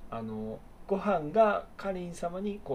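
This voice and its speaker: A man with a high pitch and very wide pitch swings. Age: 30s. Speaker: podcast co-host. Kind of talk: casual chat.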